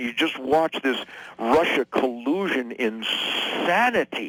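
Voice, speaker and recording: With an American accent, a man talks at a fairly slow pace over noticeable background noise. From Detroit, USA. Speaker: guitar player and political commentator. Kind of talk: radio interview answer.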